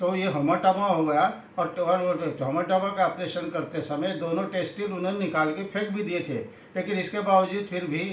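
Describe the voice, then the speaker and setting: A high-pitched man with fairly even intonation, with noticeable background noise and audible room echo. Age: 80s+. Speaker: retired health officer, customer giving testimonial. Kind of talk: testimony. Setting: interview.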